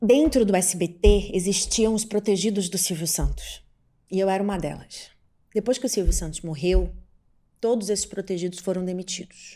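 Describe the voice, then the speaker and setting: Ordinary pitch variation over a dark, mellow tone. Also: woman, medium pitch for a woman, moderate pace. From Pará, northern Brazil (Belém). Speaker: TV journalist and presenter. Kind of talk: podcast interview. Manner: outspoken, assertive.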